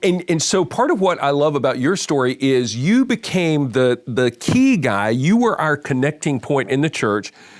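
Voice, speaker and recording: Using a plain, everyday voice, a man speaks at a moderate pace with a fairly high pitch and lively intonation. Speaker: podcast host, men's ministry leader. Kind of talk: podcast conversation.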